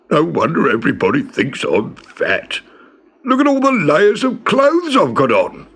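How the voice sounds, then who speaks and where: Putting on a rumbling character voice, a man speaks at a moderate pace. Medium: read story. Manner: grumbling, complaining.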